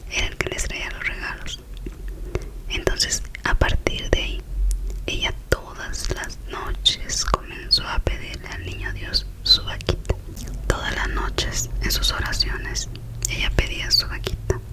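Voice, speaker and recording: Whispering and soft-spoken, a woman talks at a fairly slow pace over noticeable background noise. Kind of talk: ASMR whispered story, relaxation / sleep storytelling. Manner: whispered, soft, relaxing.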